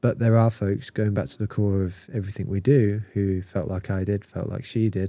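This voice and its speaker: In a British accent, a man talks with a dark, mellow tone and fairly even intonation. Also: moderate pace. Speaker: marketing community founder. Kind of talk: casual podcast conversation. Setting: in-person podcast recording.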